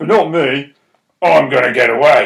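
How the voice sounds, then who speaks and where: In a put-on character voice with fairly high pitch and ordinary pitch variation, a man speaks at a moderate pace. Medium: read story.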